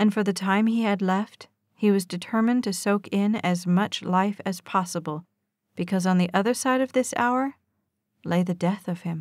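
A woman speaks with a normal speaking voice at a medium pitch and ordinary pitch variation. Her pace is moderate, and the recording is very clean with a silent background. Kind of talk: audiobook reading of a romance novel.

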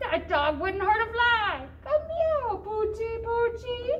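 A cartoonish character voice pitched extremely high speaks at a fairly slow pace. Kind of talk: comic children's puppet show. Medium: puppet show. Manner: scared, then cooing and giggly.

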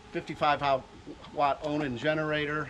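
A man talks over light background noise. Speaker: RV dealer salesman. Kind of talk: product walkthrough presentation. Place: street.

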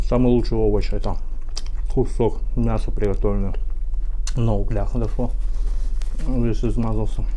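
At a moderate pace and with very even loudness, a man speaks over light background noise. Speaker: eating-show vlogger. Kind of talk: casual vlog chat. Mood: defensive, apologetic rambling. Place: kitchen. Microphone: phone near.

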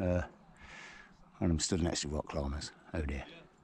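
A man's dark, mellow tone comes through a dry sound with no echo. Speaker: hiker vlogger. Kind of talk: casual vlog chat. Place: open country. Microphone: phone near.

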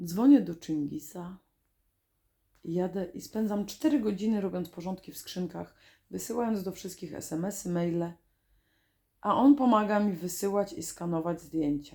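Speaking at a fairly slow pace, a woman has a dark, mellow tone, medium pitch, ordinary pitch variation and big swings in loudness. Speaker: video diarist. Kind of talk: reading aloud.

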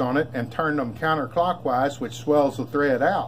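Over light background noise, a man talks at a moderate pace. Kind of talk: casual show-and-tell explanation. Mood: proud, easygoing. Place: garage. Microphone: phone near.

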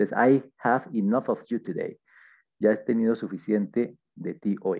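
Over a quiet background, a man talks at a very slow pace in a dark, mellow tone. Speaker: English teacher. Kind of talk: lesson. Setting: screen-shared online class. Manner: halting, with frequent fillers. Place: home room. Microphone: headset.

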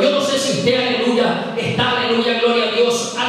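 In a quiet background with strong room echo, a man speaks at a moderate pace with a high pitch. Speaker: preacher. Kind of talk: sermon. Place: church.

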